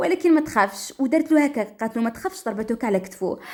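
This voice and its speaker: A woman's high-pitched, lively voice at a fairly quick pace, with noticeable background noise. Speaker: storyteller. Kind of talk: dramatic first-person story narration. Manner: lively, expressive.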